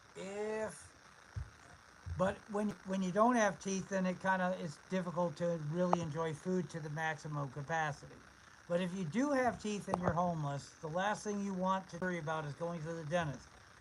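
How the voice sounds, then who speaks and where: Against noticeable background noise, a man with a high pitch speaks at a moderate pace with ordinary pitch variation. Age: 50s. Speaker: homeless camper livestreamer. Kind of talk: casual livestream chat. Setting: live stream. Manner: halting.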